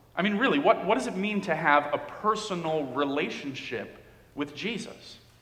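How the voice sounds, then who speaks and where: Over noticeable background noise, a man with a high-pitched voice speaks at a moderate pace with lively intonation. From Dominican Republic. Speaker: pastor. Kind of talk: sermon. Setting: church.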